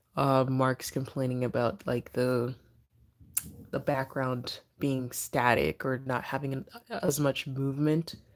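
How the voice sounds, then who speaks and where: A soft-spoken woman talks at a fairly slow pace. Her pitch is very deep and low, with fairly even intonation. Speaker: livestream host. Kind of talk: casual livestream chat. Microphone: speaker moves close to mic after viewer can't hear.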